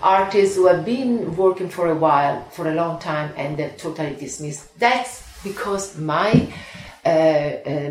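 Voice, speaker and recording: Noticeable background noise sits behind a woman's fairly low voice. She speaks at a moderate pace with lively intonation. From Italy. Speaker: art collector. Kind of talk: interview. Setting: at home. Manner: animated, repetitive.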